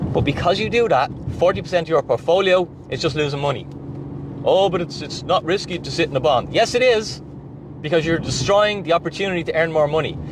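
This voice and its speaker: Over noticeable background noise, a speaker with an Irish accent talks very fast in an animated tone with ordinary pitch variation. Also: man, high pitch for a man. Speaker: finance and crypto YouTuber. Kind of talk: direct-to-camera monologue.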